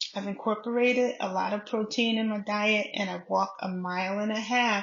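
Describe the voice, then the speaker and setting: A woman speaks at a fairly high pitch and a moderate pace. Her voice is somewhat breathy. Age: 60s. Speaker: health vlogger. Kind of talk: casual vlog monologue. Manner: hesitant, many fillers.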